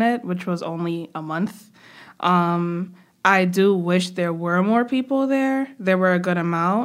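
At a fairly slow pace, a woman with an American accent and an unremarkable speaking voice talks at medium pitch with lively intonation. The recording is very clean, with a silent background. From New York, Brooklyn. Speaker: student government president. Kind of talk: interview.

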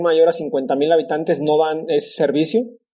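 Over noticeable background noise, a man talks at a fairly quick pace, his fairly high pitch showing ordinary pitch variation. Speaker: podcast host, agronomist. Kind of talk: interview.

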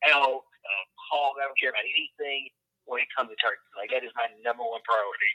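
A man with a Southern US accent at a very fast pace, in a dry, close sound with no echo. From Louisiana, US South. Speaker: hunter and outdoor content creator. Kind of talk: casual interview. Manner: voice cracks higher when excited.

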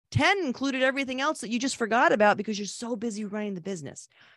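A woman with an American accent at a very fast pace, in a very clean recording with a silent background. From Connecticut, New England. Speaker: restaurant business consultant and author. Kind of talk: casual interview.

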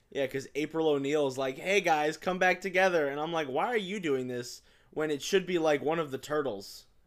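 Captured on a very clean recording with a silent background, a man with a fairly high voice talks at a fairly quick pace with ordinary pitch variation. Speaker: film podcast host. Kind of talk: casual chat. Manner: animated, laughs often.

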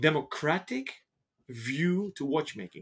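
The speech comes at a fairly slow pace and sounds somewhat breathy. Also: man. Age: 40s. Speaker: watch shop podcast host. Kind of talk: interview. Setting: in person at shop offices.

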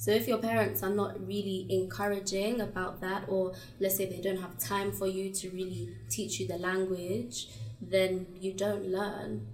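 Against noticeable background noise, a woman with a British accent and a medium pitch speaks fairly slowly with lively intonation. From England (British-Ugandan). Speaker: content creator and pageant winner. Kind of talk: casual interview.

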